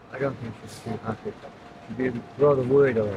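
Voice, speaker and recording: A man's voice comes with noticeable noise in the background. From Lake District, England. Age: 60s. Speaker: homeless rough sleeper. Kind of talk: street interview answer. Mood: weary, subdued. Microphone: phone near.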